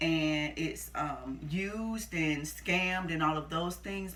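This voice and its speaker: Female speech amid noticeable background noise and audible room echo. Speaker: youtuber sharing personal stories. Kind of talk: casual storytelling to camera. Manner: halting, skips and repeats.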